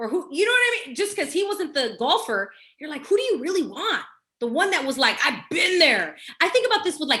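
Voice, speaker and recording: A woman's raised, projected voice at a fairly quick pace, with very wide pitch swings. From Los Angeles, California. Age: 40s. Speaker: mindset coach and speaker. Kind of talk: casual interview chat. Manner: animated.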